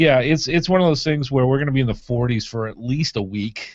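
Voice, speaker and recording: A man talks at a medium pitch. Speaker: podcast host. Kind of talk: casual chat. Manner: loud.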